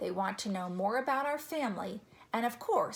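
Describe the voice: Plain reading aloud carried by lively intonation.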